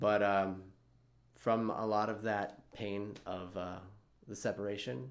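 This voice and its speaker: Amid audible room echo, a man speaks in a relaxed tone at a fairly low pitch with ordinary pitch variation. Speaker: songwriting teacher and channel host. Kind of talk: casual tutorial vlog. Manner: relaxed, with many fillers.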